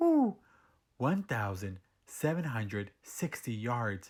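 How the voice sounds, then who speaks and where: A man at medium pitch puts on a character voice and speaks at a fairly slow pace. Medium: read story. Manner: hooting.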